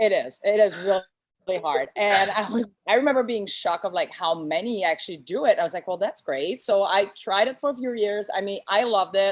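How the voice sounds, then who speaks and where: In a Quebec accent, the speaker moves at a fairly quick pace with lively intonation and hardly any pauses. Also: woman, medium pitch for a woman. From Quebec, Canada. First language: French. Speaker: boutique owner. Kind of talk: interview.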